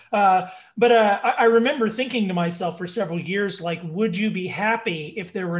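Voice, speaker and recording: A man at a fairly quick pace, with hardly any pauses. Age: 30s. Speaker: podcast co-host. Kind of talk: casual chat.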